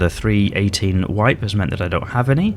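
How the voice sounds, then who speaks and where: With a British accent, a man talks at a fairly quick pace and a fairly low pitch. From Britain. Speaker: gaming YouTuber. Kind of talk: gameplay commentary. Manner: casual, hesitant with fillers.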